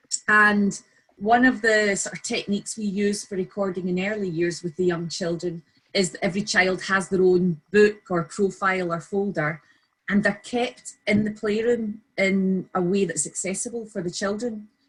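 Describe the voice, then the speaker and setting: Somewhat breathy, a woman of medium pitch with a Scottish accent speaks at a moderate pace with fairly even intonation. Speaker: early years practitioner. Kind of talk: webinar discussion.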